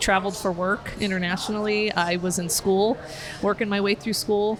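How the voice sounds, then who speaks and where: Over noticeable background noise, a woman in a Southwestern US accent speaks at a medium pitch and a moderate pace with monotone, flat intonation. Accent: US Southwest (General American). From Arizona, northern Phoenix. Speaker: criminal justice educator. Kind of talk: podcast interview. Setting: outdoors on a porch, downtown.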